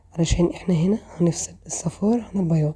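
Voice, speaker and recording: At a moderate pace, a woman with a fairly low pitch and a dark, mellow, somewhat breathy tone speaks with ordinary pitch variation. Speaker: cooking channel host. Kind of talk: cooking tutorial. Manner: casual and chatty.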